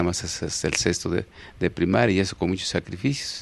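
A man at a very deep, low pitch with a Mexico City accent, fairly quick pace and dry sound with no echo. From Mexico City, Iztapalapa. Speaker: elderly local resident sharing memories, former farmer; interview guest. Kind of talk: TV interview, oral history. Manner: halting, many fillers and repetitions. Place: studio. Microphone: handheld.

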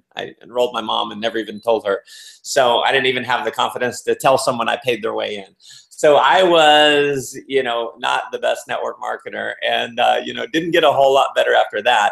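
This man talks at a fairly quick pace against a quiet background. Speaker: interview guest. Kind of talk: interview answer. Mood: upbeat, laughing storyteller. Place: home room. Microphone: video call.

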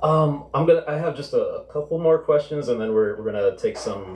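At a moderate pace, a man talks over light background noise with audible room echo. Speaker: fiction writer; event moderator. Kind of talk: interviewing the author. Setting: stage with audience. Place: shop.

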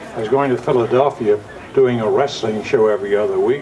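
Crowd noise sits in the background while a man speaks with ordinary pitch variation. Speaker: TV horror host. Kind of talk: interview answer, anecdote. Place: open country.

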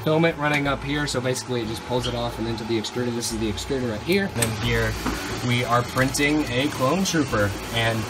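Over loud background noise, a man speaks at a very fast pace with ordinary pitch variation. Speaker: college vlogger. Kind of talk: casual vlog chat. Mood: enthusiastic, pleased. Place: home room. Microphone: phone near.

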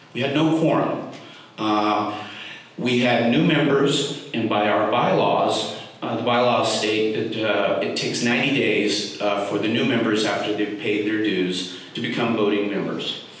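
Strong room echo surrounds a man speaking at a medium pitch. His pace is fairly slow and his pitch varies in an ordinary way. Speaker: speaker supporting endorsement. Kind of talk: public comment speech. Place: meeting room.

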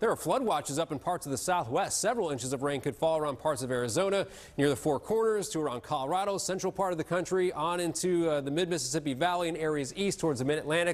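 A man rattles along at a very fast pace, his pitch moving in an ordinary way. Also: hardly any pauses. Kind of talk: weather forecast presentation. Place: studio. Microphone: lapel.

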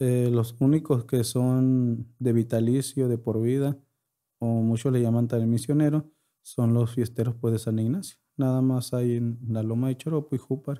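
A man's medium-pitched voice, dark and mellow, in a flat monotone at very even loudness over a quiet background. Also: fairly slow pace. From Yoreme Mayo community, northwestern Mexico; northwestern Mexico. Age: 20s. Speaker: podcast guest. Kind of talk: interview; interview answer. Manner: halting. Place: studio. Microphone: studio mic.

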